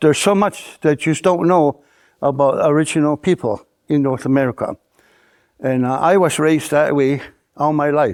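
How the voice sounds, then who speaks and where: With a Canadian accent, a man at fairly high pitch speaks at a moderate pace with ordinary pitch variation, very even loudness and long, frequent pauses, in a dry, close sound with no echo on a very clean recording with a silent background. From Akwesasne Mohawk reservation, New York. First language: Mohawk. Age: 80s+. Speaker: Mohawk elder. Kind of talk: interview answer, oral history.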